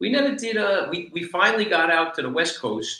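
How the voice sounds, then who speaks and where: A man in a New York accent talks at a moderate pace, with audible room echo. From New York, the Bronx. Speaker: reggae musician, keyboardist. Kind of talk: casual chat.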